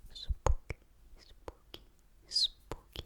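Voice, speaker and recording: In a whisper, someone speaks very slowly. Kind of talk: ASMR story reading. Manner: whispered.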